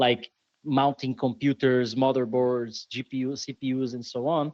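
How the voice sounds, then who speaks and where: With a Brazilian accent, a man speaks at a medium pitch and moderate pace in a monotone, flat intonation, the sound dry and close with no echo. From Brazil, São Paulo. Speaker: software developer and security conference organizer. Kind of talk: podcast interview.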